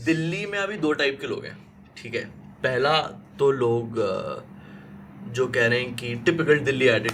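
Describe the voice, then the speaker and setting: Long, frequent pauses break up this man's speech. His pitch is fairly high and his intonation lively. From Delhi, India. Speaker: radio jockey and stand-up comedian. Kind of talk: casual podcast conversation, Hindi-English mix. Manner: energetic, witty, talkative.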